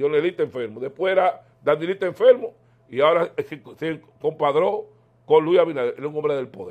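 A man with a Dominican accent speaks at a high pitch and a fairly quick pace, with long, frequent pauses. His loudness swings widely against a quiet background. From Dominican Republic. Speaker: political commentator. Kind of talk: political interview. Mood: animated, opinionated political talk. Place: home room. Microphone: lapel.

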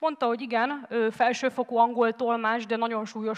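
A woman speaks fairly quickly with fairly even intonation. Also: quiet background. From Hungary. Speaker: former volunteer, teacher; conference speaker. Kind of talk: TED-style talk. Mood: earnest storytelling. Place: stage. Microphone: headset.

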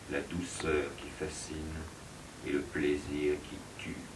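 Amid noticeable background noise, a man speaks at a very slow pace with fairly even intonation. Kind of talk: poetry reading.

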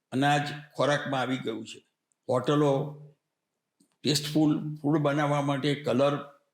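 In a room with audible echo, a man with a fairly high pitch speaks in a monotone, flat intonation. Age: 80s+. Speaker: retired accountant and social worker. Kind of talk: interview.

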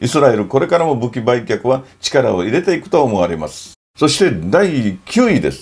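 A man's voice shows vocal fry. His pitch swings very widely. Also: big swings in loudness. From Okinawa, Japan. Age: 60s. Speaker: NGO founder and photographer; NPO founder commentator. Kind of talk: informal lecture to camera. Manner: animated. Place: home room.

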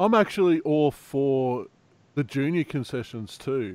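On a very clean recording with a silent background, a speaker with an Australian accent moves at a moderate pace with very wide pitch swings. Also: man. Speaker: fantasy sports youtuber. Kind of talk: casual chat.

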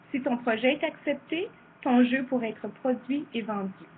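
A woman speaks in a high voice. She takes a fairly slow pace. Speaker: former teacher and presenter. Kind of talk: virtual conference presentation.

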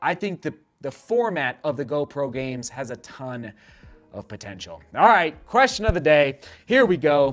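A man's pitch swings very widely while he talks fairly slowly. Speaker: running show host. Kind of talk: casual vlog chat reading viewer comments. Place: studio.

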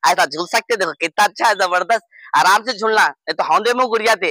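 A man's bright, sharp tone at a fairly quick pace, with ordinary pitch variation and a dry, close sound with no echo

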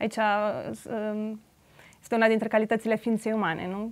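A woman speaks at a moderate pace. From Transylvania, Romania (Alba Iulia); Transylvania, Romania. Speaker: artist; guest. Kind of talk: interview. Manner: halting. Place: studio. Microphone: lapel.

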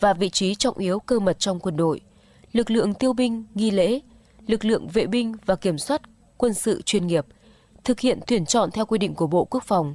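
Recorded dry with no echo, a woman talks at a moderate pace and medium pitch with ordinary pitch variation. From Vietnam. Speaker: local radio announcer; radio announcer. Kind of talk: news reading. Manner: formal. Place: studio.

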